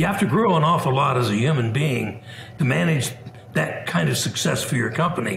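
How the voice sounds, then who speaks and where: A man with an American accent speaks at a fairly quick pace. Audible room echo and light background noise surround him. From US Midwest, Indiana. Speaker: business founder; interviewee. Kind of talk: interview. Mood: reflective, relaxed. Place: home room. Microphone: webcam.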